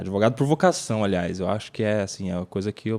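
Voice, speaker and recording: An unremarkable speaking voice from a man, fairly low in pitch, at a fairly quick pace with ordinary pitch variation, on a very clean recording with a silent background. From interior of São Paulo state, Brazil. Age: 30s. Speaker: lawyer and political commentator. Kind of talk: casual podcast interview. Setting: podcast studio.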